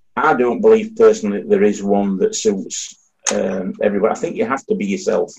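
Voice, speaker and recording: A man with a Yorkshire accent. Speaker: audience member asking the panel a question.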